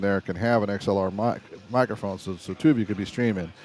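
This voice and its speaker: A man is speaking here. His pace is very fast. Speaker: camera and video production livestreamer. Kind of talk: live stream tutorial. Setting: live stream at a resort casino. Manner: casual, conversational.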